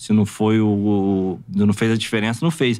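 A man speaks over a quiet background. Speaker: former professional footballer; guest. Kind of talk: casual podcast interview. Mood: frank, critical. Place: studio. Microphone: studio mic.

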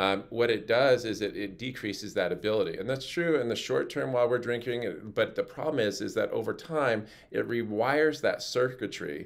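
In a quiet setting, a man talks at a moderate pace with ordinary pitch variation. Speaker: health educator. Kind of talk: educational talk to camera. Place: office. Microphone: phone near.

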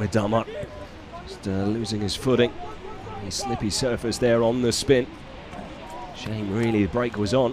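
A medium-pitched man at a moderate pace, fairly even in intonation, with long, frequent pauses and noticeable background noise. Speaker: football commentator. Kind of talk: live play-by-play football commentary, calm and measured. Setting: stadium commentary position.

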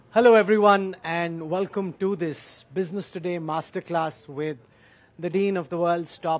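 Pitch moves in an ordinary way. The speaking speed is moderate. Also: man. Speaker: event host, interviewer. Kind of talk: speaker introduction. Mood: warm, admiring, light laughs. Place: hall. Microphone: headset.

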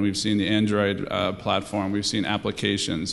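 A normal speaking voice. The pace is fairly quick. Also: man. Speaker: tech company CEO; panelist. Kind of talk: panel discussion. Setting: stage with audience. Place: hall. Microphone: handheld.

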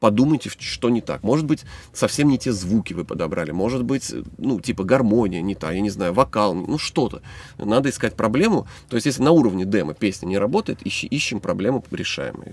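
Lively intonation carries this fairly quick speech, heard as a dry sound with no echo. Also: man. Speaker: songwriter and band musician. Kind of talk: casual chat. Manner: fast. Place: studio.

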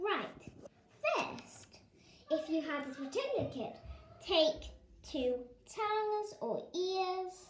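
The speech comes at a very slow pace, with audible room echo around it. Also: woman. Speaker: craft demonstrator. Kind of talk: tutorial. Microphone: phone near.

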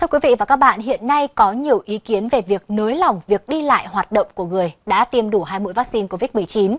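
A woman with a plain, everyday voice speaks at a fairly quick pace in a fairly high pitch, her intonation lively and the sound dry and close with no echo. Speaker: news reader. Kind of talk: news reading. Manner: formal.

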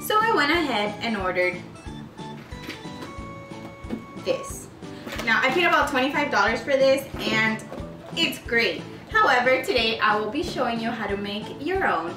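Clear music plays in the background as a woman speaks. Her voice is high, with long, frequent pauses. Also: fairly slow pace. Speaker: DIY vlogger. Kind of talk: tutorial.

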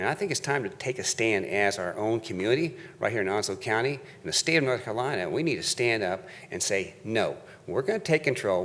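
Very fast speech from a man at a medium pitch, with very wide pitch swings. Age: 60s. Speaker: public commenter at county meeting. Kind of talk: public comment speech. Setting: county board meeting. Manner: halting.

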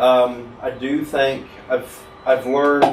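A man's voice carries audible room echo, with light background noise present as well. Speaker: podcast guest. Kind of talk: interview answer. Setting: studio. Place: studio.

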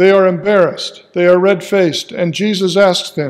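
A high-pitched man at a moderate pace over a quiet background. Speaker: pastor. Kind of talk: sermon. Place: church.

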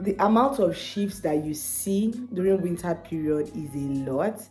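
Faint music plays behind a woman speaking at a fairly slow pace. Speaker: care worker vlogger. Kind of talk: casual vlog chat. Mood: animated, laughing, exasperated. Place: office. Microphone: phone near.

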